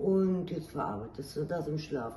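Speaking at a moderate pace in a low, dark, mellow voice with lively intonation, a woman is heard with audible room echo.

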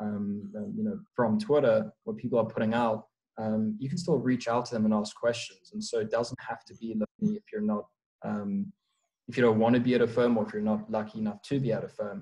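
With a South African accent, a man talks very fast at a medium pitch, his tone dark and mellow and his intonation fairly even. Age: young. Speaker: prop trader. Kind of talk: casual interview. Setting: remote call.

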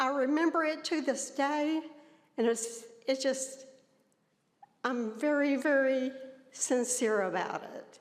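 A woman with a Tennessee accent speaks at a very slow pace in a high pitch, leaving long, frequent pauses. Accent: Southern US (Tennessee). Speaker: citizen speaking at public comment. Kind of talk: public comment at a county meeting. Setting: county commission chambers.

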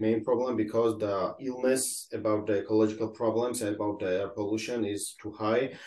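An unremarkable speaking voice, the man's pitch sits fairly low with fairly even intonation. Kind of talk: interview answer. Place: home room. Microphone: video call.

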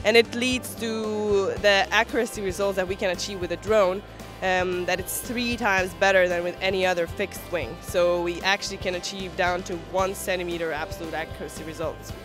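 A woman's fairly quick, fairly even speech, dry with no echo, over clear background music. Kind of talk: interview answer. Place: hall. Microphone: handheld.

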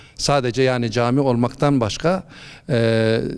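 The speaker has an unremarkable speaking voice with ordinary pitch variation. The pace is fairly slow. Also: man. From Malatya, eastern Turkey. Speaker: imam. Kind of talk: interview.

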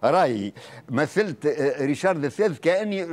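A man talks at a moderate pace in a high voice. His intonation is lively. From Tunisia. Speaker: stage actor. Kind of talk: TV interview. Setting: studio. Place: studio.

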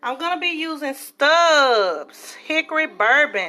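Music plays faintly behind the speaker. She is a woman. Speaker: home cook vlogger. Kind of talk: casual cooking vlog chat. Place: kitchen. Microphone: phone near.

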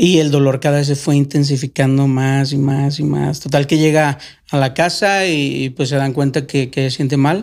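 Speaking in a normal speaking voice, a man talks at a moderate pace with fairly high pitch, fairly even intonation and very even loudness. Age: 40s. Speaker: former migrant. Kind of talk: casual chat.

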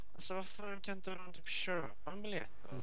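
The speaker uses a put-on character voice that sounds robotic. Clear background noise is present.

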